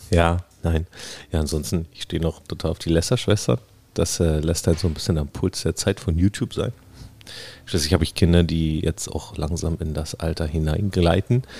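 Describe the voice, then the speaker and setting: Speaking at a moderate pace with long, frequent pauses, a man has a very deep, low pitch, a dark, mellow, somewhat breathy tone and ordinary pitch variation. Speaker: podcast participant. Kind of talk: casual chat.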